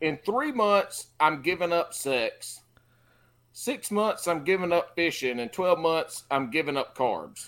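A man's high voice in a Carolina Southern accent, very slow and lively in intonation, on a very clean recording with a silent background. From South Carolina. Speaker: fishing podcast co-host. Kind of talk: casual chat.

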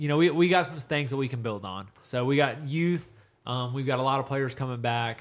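A man talks in a normal speaking voice at a fairly quick pace, his medium pitch moving with ordinary variation. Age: 20s. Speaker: high school football podcast co-host. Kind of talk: casual sports chat.

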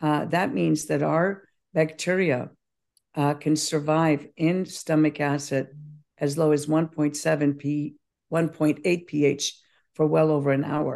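With very even loudness, a woman speaks in a very deep, low pitch and a monotone, flat intonation. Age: 70s. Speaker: probiotic company founder. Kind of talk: interview.

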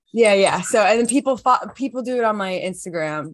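A plain, everyday voice from a woman, fairly high in pitch, with lively intonation at a moderate pace against a quiet background. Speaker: podcast host interviewing. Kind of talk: casual interview chat.

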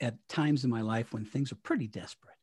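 A somewhat breathy man's voice at medium pitch, in a very clean recording with a silent background. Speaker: retired radio broadcaster. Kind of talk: interview.

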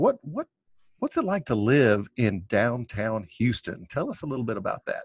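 A man talks at a fairly slow pace in a normal speaking voice. His pitch is medium. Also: quiet background. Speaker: podcast host. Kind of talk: casual interview.

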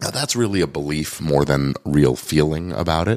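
At a moderate pace, a man talks in a very deep, low voice with vocal fry and ordinary pitch variation. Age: 50s. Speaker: podcast host, lawyer and coach. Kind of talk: solo podcast monologue. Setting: recorded on video and livestream.

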